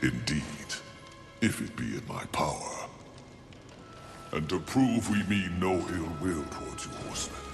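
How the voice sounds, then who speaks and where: Over clear music in the background, a man does a cartoonish character voice at a very deep, low pitch and a moderate pace. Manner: formal, archaic.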